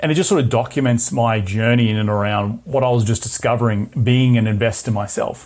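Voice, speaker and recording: This man speaks with an Australian accent at a medium pitch, his intonation fairly even. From Australia (Brisbane). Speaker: real estate investor and podcast host. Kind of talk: interview.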